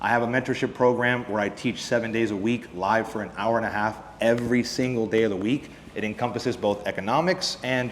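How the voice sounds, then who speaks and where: In a room with audible echo, a man speaks at a medium pitch and a fairly quick pace. His intonation is fairly even. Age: 20s. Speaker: futures trader and trading educator. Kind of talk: conference presentation.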